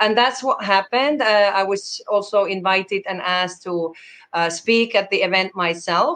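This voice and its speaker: A woman in a Finnish accent, medium in pitch, with ordinary pitch variation and a moderate pace. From Finland. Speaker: conference program director. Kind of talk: interview. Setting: video call.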